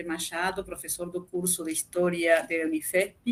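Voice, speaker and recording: Noticeable background noise sits behind a woman speaking in a Spanish accent. Her pitch is medium and her pace moderate. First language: Spanish (speaking Portuguese). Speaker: interviewer. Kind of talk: live online interview.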